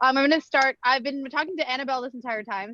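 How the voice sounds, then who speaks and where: Bright, sharp tone from a woman, with ordinary pitch variation. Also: dry, close sound with no echo. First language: Bangla. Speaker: event moderator. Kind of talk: live event moderation. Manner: playful.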